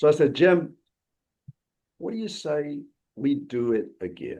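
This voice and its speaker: A man with a Southern Alabama accent talks in a dark, mellow tone with lively intonation. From US South, Alabama Wiregrass. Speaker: law firm founder and network co-founder. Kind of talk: interview storytelling.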